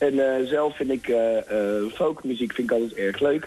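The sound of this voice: Here a man speaks in a dark, mellow tone with ordinary pitch variation. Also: medium pitch for a man, moderate pace.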